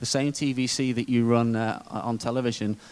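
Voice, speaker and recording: A man speaks with a British accent at a fairly quick pace. His intonation is monotone and flat. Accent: British, described as dull. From UK. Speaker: conference speaker, digital media executive. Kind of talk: conference presentation.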